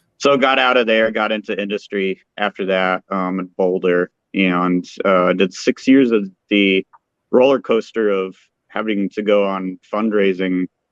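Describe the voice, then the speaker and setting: A man speaks in a plain, everyday voice, fairly low in pitch, at a fairly slow pace with fairly even intonation. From Colorado. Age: 40s. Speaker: brewer, former chemist. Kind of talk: casual interview.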